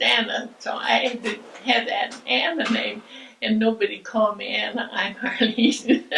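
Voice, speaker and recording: A woman speaks fairly slowly, background noise clearly present. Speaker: church member. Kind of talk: interview.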